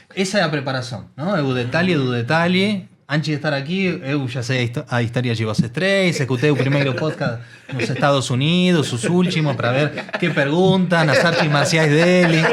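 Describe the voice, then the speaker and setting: Speaking at a moderate pace with hardly any pauses, a man with a fairly high voice uses ordinary pitch variation, with audible room echo and noticeable background noise. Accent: Argentine. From Argentina. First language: Spanish (speaking Portuguese). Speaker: technology executive. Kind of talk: interview conversation. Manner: hesitant with filler 'eh'.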